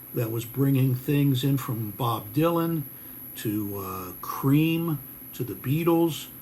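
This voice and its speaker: A dark, mellow, somewhat breathy voice at a fairly slow pace with ordinary pitch variation. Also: man. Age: 60s. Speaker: guitar maker and musician. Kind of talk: casual video message.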